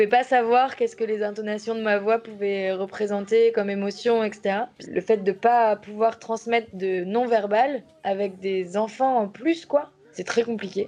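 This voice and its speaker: Speaking at a fairly slow pace, a woman uses a fairly high pitch and fairly even intonation with a dark, mellow tone. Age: 30s. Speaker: primary school teacher. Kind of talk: documentary interview testimony.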